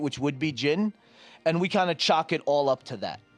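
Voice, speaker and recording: Music plays in the background as a man talks with an American accent. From New Jersey. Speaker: podcast guest. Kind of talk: casual chat.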